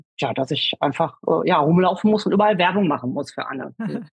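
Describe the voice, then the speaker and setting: This woman has a fairly low, somewhat breathy voice. Her pitch varies in an ordinary way. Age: 50s. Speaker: self-help group leader. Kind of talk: interview. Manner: hesitant, many fillers.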